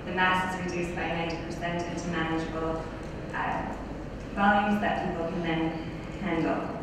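A woman is heard with noticeable background noise and strong room echo. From Canada. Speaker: PhD student. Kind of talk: conference presentation. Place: hall.

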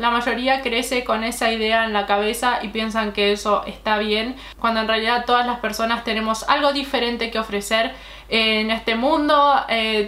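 A woman's fairly high, monotone, flat voice at a moderate pace, with audible room echo. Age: 20s. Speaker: beauty YouTuber. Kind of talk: vlog monologue. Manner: halting.

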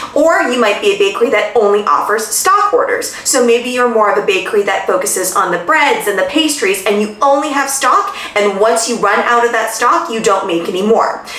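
In a room with audible echo, a woman talks at a fairly quick pace with hardly any pauses and ordinary pitch variation. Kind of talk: tutorial advice talk. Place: home room.

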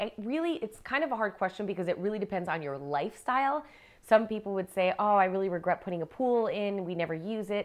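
Animated, lively intonation from a medium-pitched woman at a fairly quick pace over a quiet background. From US, moved around (Miami, New Jersey, California, DC); US. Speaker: TV design expert. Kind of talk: interview. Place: home room.

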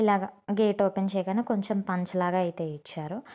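This woman has a normal speaking voice, fairly low in pitch with fairly even intonation. The recording is very clean with a silent background. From Guntur district, Andhra Pradesh, India. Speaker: vlogger. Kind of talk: home tour vlog. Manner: casual, conversational.

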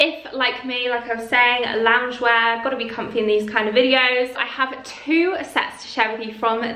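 Audible room echo surrounds a woman's high-pitched voice. She keeps a moderate pace with hardly any pauses. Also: fairly even intonation. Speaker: lifestyle vlogger. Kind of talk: sponsor read in casual vlog chat. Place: home room.

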